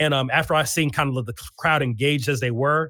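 A man talks at a fairly quick pace with a medium pitch, ordinary pitch variation and an ordinary speaking voice. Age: 30s. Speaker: poet and educator. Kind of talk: interview.

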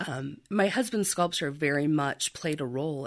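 Recorded very cleanly over a silent background, a woman with a Midwestern American accent speaks at a very deep, low pitch with ordinary pitch variation. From rural southern Iowa. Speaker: antique and art shop owner. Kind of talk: radio interview.

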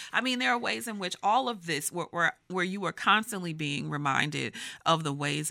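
The pitch swings very widely in a bright, sharp tone at a fairly quick pace. The recording is very clean with a silent background. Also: woman. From Texas. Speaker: professor. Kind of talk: casual chat.

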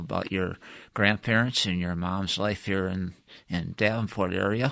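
A man's very deep, low voice in an American accent, bright and sharp in tone with fairly even intonation, in a very clean recording with a silent background. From US Midwest, Michigan. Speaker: retired engineer interviewing his wife. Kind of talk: oral-history interview. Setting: studio. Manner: hesitant, filler-heavy.

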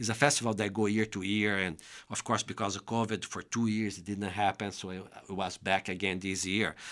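Heard on a very clean recording with a silent background, a fairly low-pitched man with a Brazilian Portuguese accent speaks at a fairly quick pace in a monotone, flat way with big swings in loudness. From Brazil, interior of São Paulo state. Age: 50s. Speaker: bassoonist and music educator. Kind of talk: casual interview. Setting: studio.

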